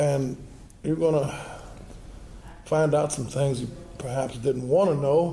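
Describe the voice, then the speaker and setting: At a fairly slow pace with long, frequent pauses, a man speaks in a fairly high pitch and fairly even intonation, with audible room echo and noticeable background noise. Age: 60s. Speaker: musician's son, interview guest. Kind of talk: casual chat.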